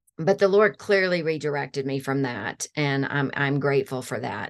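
A woman in a normal speaking voice at a moderate pace, ordinary pitch variation, quiet background. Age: 50s. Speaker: counselor training executive. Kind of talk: interview.

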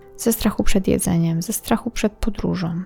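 Over background music, a woman talks at medium pitch with ordinary pitch variation, the sound dry and close with no echo. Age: 20s. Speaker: podcast host. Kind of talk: personal monologue.

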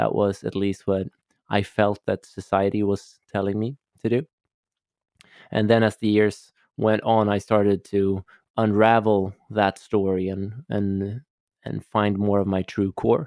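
With a Swedish accent, the voice stays monotone and flat, broken by long, frequent pauses, in a dry, close sound with no echo. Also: man, fairly low pitch for a man. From Sweden, Stockholm. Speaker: holistic coach. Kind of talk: interview.

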